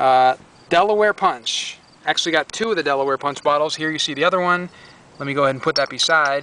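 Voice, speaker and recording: The man speaks at a very fast pace with ordinary pitch variation. The sound is dry, with no echo. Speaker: reseller. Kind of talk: casual vlog chat. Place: street. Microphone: phone near.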